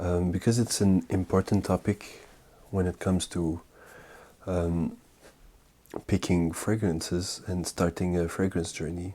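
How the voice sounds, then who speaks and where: A soft-spoken man's very deep, low voice, calm and dark and mellow in tone, very slow in pace, with fairly even intonation, on a very clean recording with a silent background. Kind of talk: ASMR fragrance talk. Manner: calm, soft-spoken.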